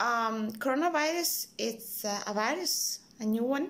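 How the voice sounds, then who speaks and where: The speaker is a woman. She talks with an Italian accent. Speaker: hospital worker. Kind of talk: personal video message. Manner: hesitant, many fillers.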